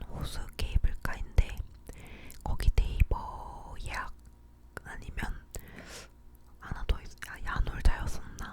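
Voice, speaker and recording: A woman whispers at a very slow pace, leaving long, frequent pauses. Her loudness swings widely against noticeable background noise. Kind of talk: ASMR whispered chatting about recent life. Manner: whispered, close-up, soft.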